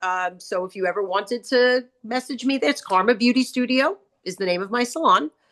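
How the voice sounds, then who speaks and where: A woman with a Long Island accent and a bright, sharp tone talks at a moderate pace with ordinary pitch variation. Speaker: hairdresser and salon owner, author. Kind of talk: casual chat. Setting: studio.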